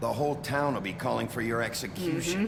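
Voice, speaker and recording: A put-on character voice at a very fast pace over loud background noise. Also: man, medium pitch for a man. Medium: machinima. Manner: gruff, blunt.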